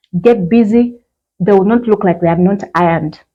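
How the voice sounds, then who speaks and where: A woman speaks at a fairly quick pace with ordinary pitch variation. She has an ordinary speaking voice. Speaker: fashion vlogger. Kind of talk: tutorial. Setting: outdoors.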